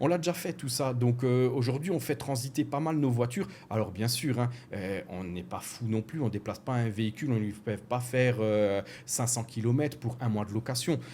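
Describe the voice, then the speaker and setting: In an Alsatian accent, a man speaks with a dark, mellow tone. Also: medium pitch for a man, ordinary pitch variation, moderate pace. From France, Alsace. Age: 40s. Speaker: car rental business owner. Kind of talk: podcast interview. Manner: hesitant, many fillers.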